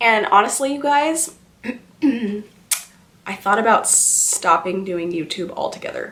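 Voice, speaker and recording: A woman talks at a fairly slow pace with audible room echo. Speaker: beauty vlogger. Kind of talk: casual chat.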